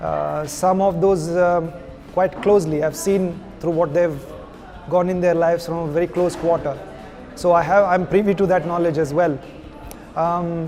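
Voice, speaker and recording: Music plays behind a man with a high voice and an Indian accent who speaks at a moderate pace in a monotone, flat intonation, leaving long, frequent pauses amid audible room echo. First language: Kodava Takk. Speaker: actor. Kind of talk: interview.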